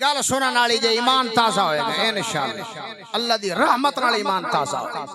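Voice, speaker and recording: With a southern Punjab accent, a man speaks in a raised, projected voice at an extremely high pitch, over noticeable background noise and audible room echo. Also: lively intonation. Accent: old Multan-area Punjabi dialect. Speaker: Islamic preacher. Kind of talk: sermon. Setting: stage with audience at religious conference.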